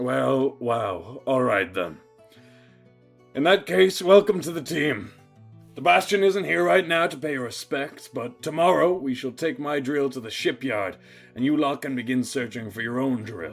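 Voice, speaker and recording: Over faint music in the background, a man does a raspy, put-on character voice at medium pitch, with very wide pitch swings at a moderate pace. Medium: actual play.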